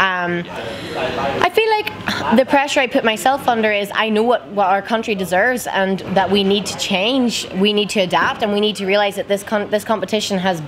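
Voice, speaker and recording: Upbeat and animated, a woman speaks at a moderate pace with an Irish accent and a medium pitch. Noticeable background noise can be heard. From Ireland. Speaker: Eurovision contestant singer. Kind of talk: casual interview chat. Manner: excitable, animated, upbeat.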